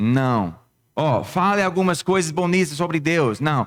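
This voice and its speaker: A man with a non-native accent speaks at a very slow pace. His high-pitched voice has lively intonation on a very clean recording with a silent background. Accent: foreign accent in Portuguese. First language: not Portuguese (speaking Portuguese). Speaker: pastor. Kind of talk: sermon. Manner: halting, with false starts.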